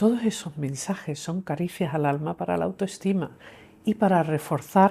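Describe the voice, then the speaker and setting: In an English accent, the speaker talks at a fairly slow pace with a dark, mellow tone and ordinary pitch variation, on a very clean recording with a silent background. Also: woman. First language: English (speaking Spanish). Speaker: clinical psychologist and author. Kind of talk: interview conversation.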